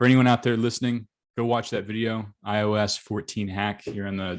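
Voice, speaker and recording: A man with an American accent, fairly low in pitch, at a fairly quick pace. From Arkansas, US South. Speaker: agency coach, interviewer. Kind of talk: casual interview; outro to camera. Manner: upbeat.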